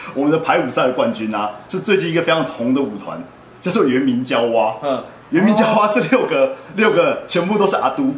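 With a fairly high pitch and very wide pitch swings, a man talks at a fairly quick pace over noticeable background noise and audible room echo. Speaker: street dance livestream host. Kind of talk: casual interview livestream. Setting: on-location livestream in Taichung. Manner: animated.

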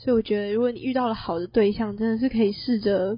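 The voice is somewhat breathy, moving at a fairly quick pace with fairly even intonation. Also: woman. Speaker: university student podcast co-host. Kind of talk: casual chat.

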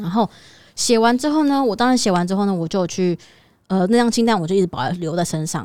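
The voice has a dark, mellow tone and very wide pitch swings. It moves at a very fast pace. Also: woman. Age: 30s. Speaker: podcast co-host. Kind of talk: casual chat.

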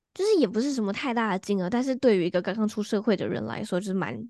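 A woman with a normal speaking voice sits at a medium pitch, her pitch varying in an ordinary way. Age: 20s. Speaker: astrologer and hypnotherapist. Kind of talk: casual interview chat.

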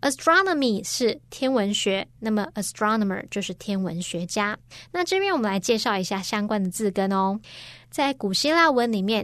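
Against a quiet background, a woman with a Chinese accent speaks at a moderate pace in a fairly high pitch with lively intonation. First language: Mandarin Chinese. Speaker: English teacher. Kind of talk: grammar lesson.

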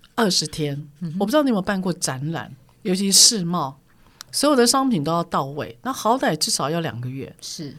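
With very wide pitch swings, a woman speaks at a fairly low pitch and moderate pace. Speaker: corporate trainer. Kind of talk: interview storytelling. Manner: assertive, forceful-sounding.

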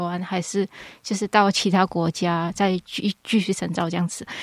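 A woman with an ordinary speaking voice talks at a moderate pace and medium pitch, with fairly even intonation, in a very clean recording with a silent background and a dry, close sound with no echo. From Malaysia. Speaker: clinical psychology graduate student. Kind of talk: casual chat.

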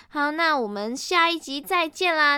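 A woman's raised, projected voice has a bright, sharp tone, an animated tone and very wide pitch swings. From Malaysia. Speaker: podcast host. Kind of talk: casual solo podcast talk.

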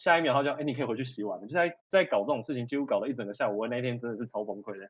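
A man at a very fast pace with ordinary pitch variation, over a quiet background. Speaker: culinary school graduate who lived in Japan. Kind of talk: casual chat.

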